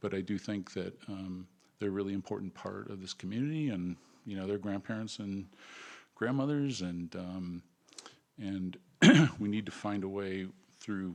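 Long, frequent pauses break up a man's speech at a moderate pace. His tone is dark and mellow, with ordinary pitch variation over a quiet background. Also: fairly low pitch for a man. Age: 60s. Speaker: commission applicant, real estate agent. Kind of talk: public interview at council meeting. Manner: halting, many fillers.

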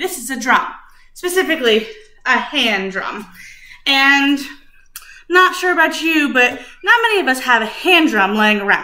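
In a raised, projected voice, a woman speaks at a fairly slow pace. Her tone is bright and sharp, with audible room echo. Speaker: music teacher. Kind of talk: lesson for young children. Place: kitchen. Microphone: webcam.

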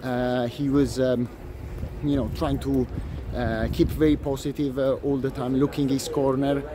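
A man with an Italian accent at a fairly slow pace, monotone and flat, over noticeable background noise. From Italy. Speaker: tennis commentator, video blogger. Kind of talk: solo vlog commentary. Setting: outdoors at a tennis venue. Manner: hesitant, many fillers. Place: stadium. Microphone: phone near.

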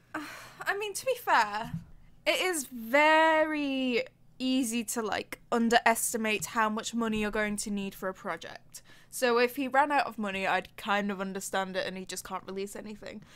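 A woman with a British accent speaks at a moderate pace in a fairly high voice, her intonation lively and her loudness swinging a lot. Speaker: podcast co-host. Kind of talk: casual chat.

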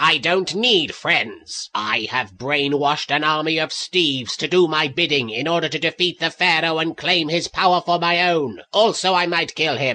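A man with a fairly high pitch, ordinary pitch variation and a moderate pace. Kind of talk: comic parody voice acting. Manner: hammy, villainous, then petulant.

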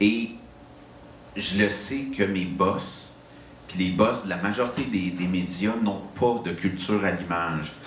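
Very slow, fairly low-pitched male speech with fairly even intonation and long, frequent pauses, set in audible room echo and light background noise. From Quebec. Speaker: panel moderator and film critic; panel moderator. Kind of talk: moderated panel discussion. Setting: live event with audience at an inn. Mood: relaxed, conversational. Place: hall.

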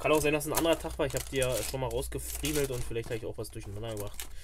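A man's voice with big pitch swings.

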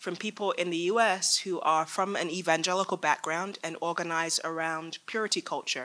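Her tone bright and sharp, a woman speaks at a moderate pace with a fairly low pitch and fairly even intonation. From England. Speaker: faith organizer and panelist. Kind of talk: panel talk. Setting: stage with audience. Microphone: podium.

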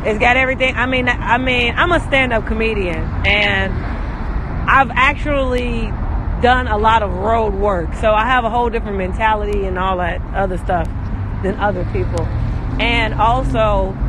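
Amid noticeable background noise, a man speaks at a moderate pace, the sound dry with no echo. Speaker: live streamer. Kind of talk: casual vlog chat. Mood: upbeat, boastful. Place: street. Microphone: phone near.

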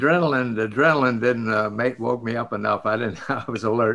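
Over a quiet background, a man with an American accent talks at a moderate pace in a bright, sharp tone, with ordinary pitch variation. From Biloxi, Mississippi, USA. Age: 80s+. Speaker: retired astronaut and test pilot. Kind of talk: interview answer. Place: home room. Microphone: video call.

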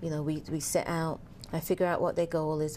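A woman speaks in a very deep, low pitch with a dark, mellow tone and monotone, flat intonation. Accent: English. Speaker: fitness trainer and business owner. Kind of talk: interview. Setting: studio.

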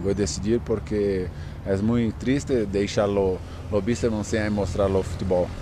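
Speaking at a fairly slow pace, a man with a fairly low pitch and ordinary pitch variation is heard over light background noise in a dry sound with no echo. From Brazil. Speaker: footballer. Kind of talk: interview. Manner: halting. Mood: calm, somewhat sad. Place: open country. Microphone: handheld.

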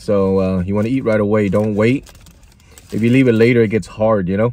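The speech moves at a fairly quick pace with fairly even intonation and a dry sound with no echo. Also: man. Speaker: food reviewer. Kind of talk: casual vlog chat. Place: car. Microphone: phone near.

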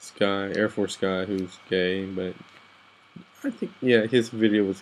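A man talks with an American accent. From Texas and Guatemala. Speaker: soldier, vlogger. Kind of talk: late-night personal vent. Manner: halting. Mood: down, emotional. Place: home room. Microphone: webcam.

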